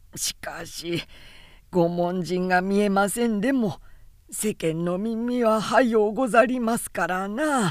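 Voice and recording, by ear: The pitch varies in an ordinary way. The speaker is reading aloud in a natural voice.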